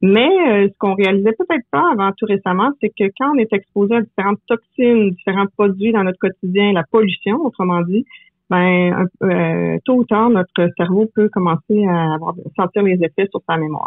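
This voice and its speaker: This woman speaks at a moderate pace. Her pitch sits in the medium range and varies an ordinary amount. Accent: Quebec. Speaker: memory coach. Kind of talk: interview.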